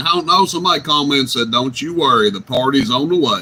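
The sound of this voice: Talking at a fast pace, a man uses lively intonation and a medium pitch, his bright, sharp tone carrying a slightly husky edge.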